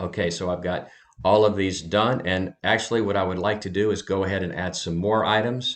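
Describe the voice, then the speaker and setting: An ordinary speaking voice from a man, fairly low in pitch, at a fairly quick pace with fairly even intonation. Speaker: online reseller. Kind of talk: tutorial.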